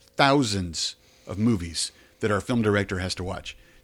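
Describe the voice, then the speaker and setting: A man talks in a normal speaking voice with lively intonation at a moderate pace. The recording is very clean, with a silent background. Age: 50s. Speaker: theater executive director, former news anchor. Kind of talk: interview.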